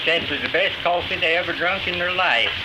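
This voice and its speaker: A man speaks with an Appalachian accent. Noticeable background noise sits behind him. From Galax, Virginia, USA. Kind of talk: folk interview anecdote, storytelling. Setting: 1937 archival field recording.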